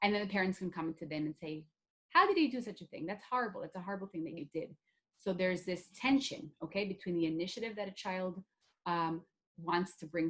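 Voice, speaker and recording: Speaking at a fairly quick pace, a woman uses a fairly low pitch with ordinary pitch variation. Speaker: workshop facilitator. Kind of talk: online workshop lecture. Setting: video call. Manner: fast.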